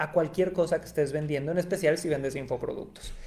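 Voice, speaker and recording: Music plays in the background as a man speaks with a Mexican accent. His voice is high, with ordinary pitch variation. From Mexico, Cancún. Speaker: podcast host, marketing agency. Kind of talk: solo podcast monologue. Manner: animated.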